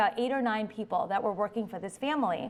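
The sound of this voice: A woman speaks at a fast pace. Her pitch is fairly high.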